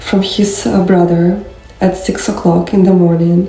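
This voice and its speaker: Speaking in a flat, monotone way at a medium pitch, a woman is heard with audible room echo and noticeable background noise. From Ukraine. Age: 20s. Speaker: war refugee. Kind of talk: testimony. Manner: halting, many fillers.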